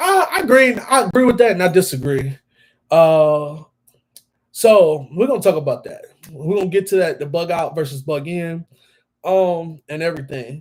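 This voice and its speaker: With an American accent, a man speaks in a high pitch with lively intonation at a moderate pace. The recording is very clean, with a silent background. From Virginia, Danville. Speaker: firearms YouTuber hosting a livestream. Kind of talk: casual livestream chat. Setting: livestream reading chat. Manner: casual, halting with fillers.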